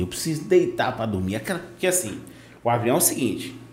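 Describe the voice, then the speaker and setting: With a Bahian accent, a man's voice moves through very wide pitch swings. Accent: Bahian Brazilian Portuguese. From Bahia, Brazil (Vitória da Conquista). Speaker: podcast host. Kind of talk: casual chat. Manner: animated.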